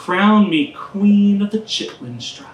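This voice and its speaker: There is noticeable background noise. A woman with an American accent speaks at a very slow pace. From US South, Aiken, South Carolina. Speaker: poet. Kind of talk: casual introduction to audience; poetry reading. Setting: live reading with audience in a taproom.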